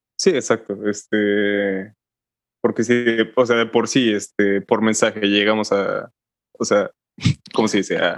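At a fairly slow pace, a man speaks in a flat monotone at fairly low pitch, with long, frequent pauses. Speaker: podcast co-host. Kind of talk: casual chat.

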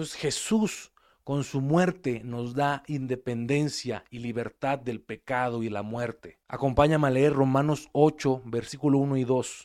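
A man has a plain, everyday voice at medium pitch, with ordinary pitch variation and a fairly slow pace. The recording is very clean, with a silent background. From Mexico. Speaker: preacher. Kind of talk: sermon.

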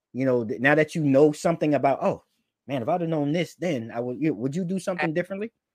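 With an animated, enthusiastic tone, a man with an American accent talks at a very fast pace and a fairly high pitch. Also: ordinary pitch variation, quiet background. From New York. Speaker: podcast host. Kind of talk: casual interview. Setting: video call.

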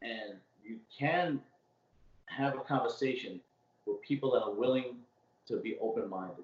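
Speaking at a fairly slow pace, a man talks with a strong Brooklyn accent. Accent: strong old school Brooklyn. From Brooklyn, New York. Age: 40s. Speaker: city worker and podcaster. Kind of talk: casual chat. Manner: talkative.

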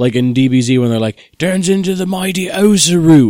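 A man puts on a character voice in an Australian accent, pitched high. His intonation is lively and his pace moderate.

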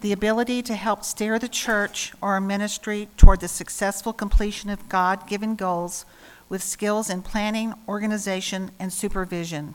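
This is a normal speaking voice at a moderate pace, with fairly even intonation and big swings in loudness. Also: woman, medium pitch for a woman. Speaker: lay worship leader. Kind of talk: scripture reading. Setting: church.

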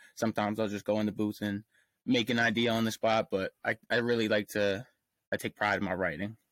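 With an American accent, a man speaks fairly quickly at a fairly low pitch in a monotone, flat intonation. The sound is dry and close with no echo, a very clean recording with a silent background. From Pennsylvania, US. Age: 20s. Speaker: rapper. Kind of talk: casual interview.

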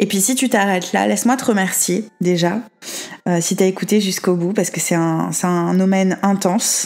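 This woman has an ordinary speaking voice at a medium pitch. She keeps her intonation fairly even and moves at a moderate pace. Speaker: tarot card reader. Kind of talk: tarot reading monologue.

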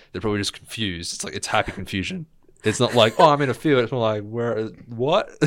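The speaker talks very fast in an Australian accent, with lively intonation. Loudness swings widely from moment to moment. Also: man, medium pitch for a man. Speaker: guest. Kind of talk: casual chat.

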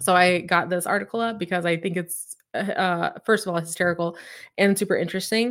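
A woman with an American accent, an ordinary speaking voice at a fairly quick pace, on a very clean recording with a silent background. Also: medium pitch for a woman, fairly even intonation. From Oklahoma, Claremore near Tulsa. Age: 30s. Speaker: real estate agent. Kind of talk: live stream talk. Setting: live YouTube stream. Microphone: close, good mic.

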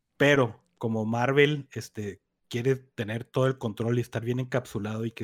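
Recorded dry and close with no echo, a man with a Mexican accent talks at a moderate pace and a medium pitch. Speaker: podcast co-host. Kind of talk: casual chat.

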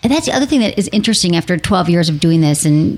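A woman's fairly low voice in a Midwestern American accent, lively in intonation, over noticeable background noise. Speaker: sex and relationship podcast host. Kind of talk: casual interview chat. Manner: fast talker.

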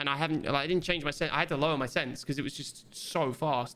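A man's bright, sharp, fairly high voice with a British accent. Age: 20s. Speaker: podcast co-host. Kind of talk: casual chat.

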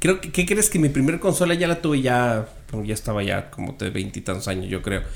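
A man's voice with vocal fry and lively intonation. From Mexico City and Sonora. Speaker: podcast guest. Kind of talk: casual chat.

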